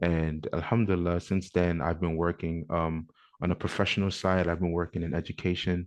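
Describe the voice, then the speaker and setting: A man with a slight African accent speaks at a moderate pace in a very deep, low voice with monotone, flat intonation over a quiet background. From New York (Bronx), with teen years in Ghana. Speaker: podcast co-host, educator. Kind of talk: casual podcast chat.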